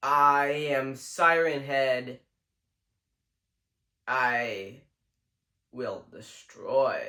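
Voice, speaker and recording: Put on as a character voice, this raspy, robotic delivery sits at a low-to-middle pitch and moves at a very slow pace with long, frequent pauses. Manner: menacing.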